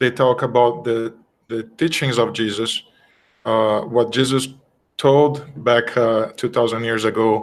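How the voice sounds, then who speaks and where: At a fairly slow pace, a man with a Brazilian accent talks at a medium pitch with fairly even intonation. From Brazil (Rio de Janeiro). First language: Portuguese. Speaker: spiritist study presenter. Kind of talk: religious study talk. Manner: halting, many fillers.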